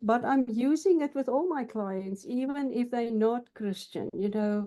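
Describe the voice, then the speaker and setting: Speaking fairly slowly with a South African accent, a woman uses a high pitch and lively intonation. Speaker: counselor. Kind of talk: interview. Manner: halting.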